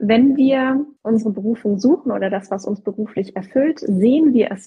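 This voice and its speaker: A woman with a normal speaking voice, fairly high in pitch, at a fairly slow pace with ordinary pitch variation. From southern Germany. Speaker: career coach. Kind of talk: casual chat. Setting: Instagram live video session.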